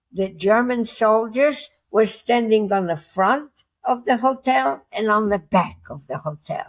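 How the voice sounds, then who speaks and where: A woman with a medium-pitched voice speaks at a fairly slow pace. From Poland. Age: 80s+. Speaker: Holocaust survivor, retired school teacher. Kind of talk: interview answer.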